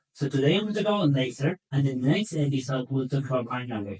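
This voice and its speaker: A man with a non-native accent talks very fast at a fairly high pitch. His voice is somewhat breathy. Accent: foreign accent, self-noted. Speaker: equine veterinarian. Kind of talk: educational podcast talk. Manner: conversational, with hesitations and repetitions.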